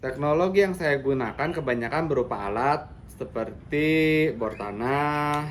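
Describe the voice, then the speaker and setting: A man at a fairly slow pace with hardly any pauses, fairly high in pitch, with audible room echo. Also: ordinary pitch variation. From West Java, Bandung Regency. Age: 30s. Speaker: farmer. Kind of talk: demonstration.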